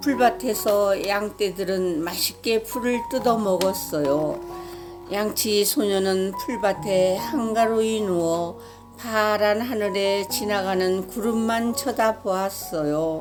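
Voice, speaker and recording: Over music in the background, a woman speaks very slowly at a medium pitch with ordinary pitch variation. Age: old. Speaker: storyteller. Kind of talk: children's story reading.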